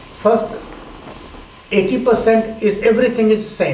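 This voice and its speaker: A very slow, monotone voice with flat intonation, audible room echo and noticeable background noise. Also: man. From India, Bihar. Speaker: yoga teacher. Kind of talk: lecture.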